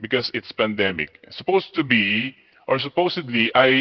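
Over a quiet background, a man speaks and his intonation is lively. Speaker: teacher applicant; online English teacher applicant. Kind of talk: demo class; demo lesson and interview answers. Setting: video call. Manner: animated. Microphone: unstable internet connection; headset.

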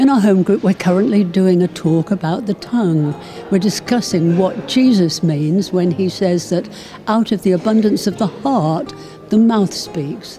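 With clear music in the background, a woman talks at a medium pitch and very even loudness. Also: ordinary pitch variation, moderate pace. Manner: encouraging. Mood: warm, encouraging. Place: home room. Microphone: handheld.

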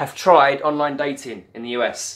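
A man with a strong British accent talks at a fairly slow pace. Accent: thick British. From UK. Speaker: vlogger. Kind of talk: casual chat. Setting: at home on camera. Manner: animated. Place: home room. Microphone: webcam.

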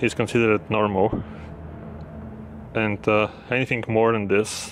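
There is light background noise as a man talks at a fairly slow pace. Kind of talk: casual vlog commentary. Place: station.

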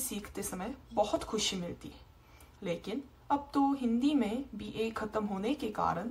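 In a Korean accent, a woman speaks very slowly at a fairly high pitch with ordinary pitch variation. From South Korea. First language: Korean (speaking Hindi). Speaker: university student of Hindi. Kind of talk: video appeal. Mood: somewhat sad, serious. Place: home room. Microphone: phone near.

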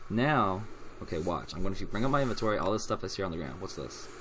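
A man talks at a very fast pace with lively intonation over light background noise. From US South. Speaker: gaming YouTuber. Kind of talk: let's play commentary. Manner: casual, rambling. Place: home room.

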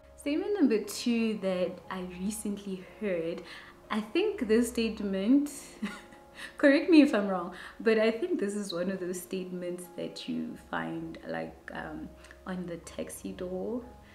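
A woman at a fairly slow pace with big swings in loudness, audible room echo and light background noise. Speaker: vlogger. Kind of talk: casual vlog chat. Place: home room.

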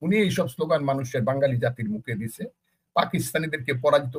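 A man's voice with lively intonation. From Bangladesh, Kishoreganj (Itna). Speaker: politician and war veteran. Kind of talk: talk show interview. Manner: animated.

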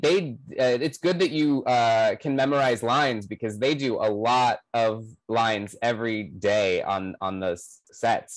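Over a quiet background, a man talks at a fairly slow pace with ordinary pitch variation, the sound dry with no echo. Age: young. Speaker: interviewer and actor; interviewer, actor. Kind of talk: casual chat. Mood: friendly, warm. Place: home room. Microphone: earbuds.

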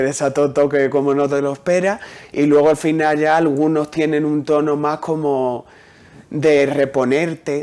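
At a fairly slow pace, a man speaks in a fairly high pitch. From Huelva, Andalusia, Spain; Andalusia, Spain. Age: young. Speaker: poet. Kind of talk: interview. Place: studio. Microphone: lapel.

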